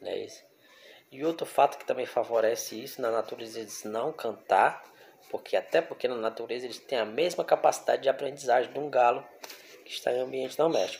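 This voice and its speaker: A man talks fairly quickly, with light background noise in the recording. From Brazil. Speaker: bird breeder and YouTuber; YouTuber. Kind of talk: casual explanatory monologue; casual vlog chat. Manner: conversational, frequent fillers. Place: kitchen. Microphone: phone near.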